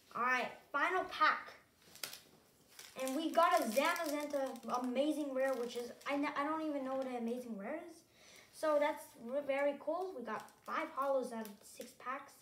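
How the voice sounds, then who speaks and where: A woman's high-pitched voice at a moderate pace, with ordinary pitch variation, long, frequent pauses, light background noise and audible room echo. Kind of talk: casual unboxing commentary. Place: home room. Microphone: phone near.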